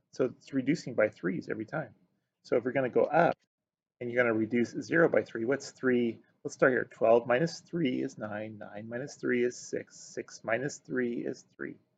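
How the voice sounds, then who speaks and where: This man talks at a moderate pace with a medium pitch and ordinary pitch variation. Vocal fry runs through his voice. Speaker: math teacher. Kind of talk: video lesson.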